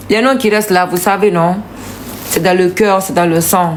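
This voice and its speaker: A woman's medium-pitched voice at a fairly slow pace, ordinary pitch variation, and noticeable background noise. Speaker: singer. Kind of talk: casual live video thanking supporters.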